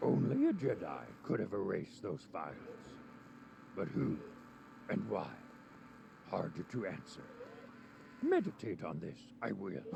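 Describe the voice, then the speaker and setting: A man uses a put-on character voice, pausing long and often. Clear background noise can be heard. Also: moderate pace. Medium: video game. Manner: inverted word order, cryptic.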